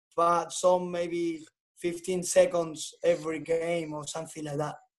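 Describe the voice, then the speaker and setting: In a Spanish accent, a man talks at a high pitch and a fairly slow pace. His intonation is monotone and flat. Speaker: tennis coach. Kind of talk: podcast interview.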